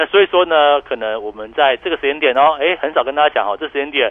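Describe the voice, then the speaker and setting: A man's fairly high voice at a very fast pace, with lively intonation. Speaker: stock market analyst. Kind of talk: radio market commentary. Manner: animated, laughing often.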